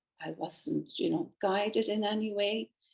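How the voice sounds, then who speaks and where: Speaking fairly slowly, a woman with an Irish accent has a fairly high pitch and a dark, mellow tone. Vocal fry runs through her voice. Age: 70s. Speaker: painter and author. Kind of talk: interview.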